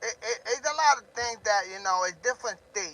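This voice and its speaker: A man is shouting. He keeps a moderate pace. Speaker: drama livestreamer. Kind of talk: livestream rant. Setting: live stream. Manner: loud, yelling.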